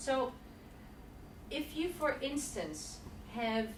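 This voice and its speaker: A woman's lively intonation amid noticeable background noise and audible room echo. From Netherlands. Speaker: body language presenter. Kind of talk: presentation and Q&A.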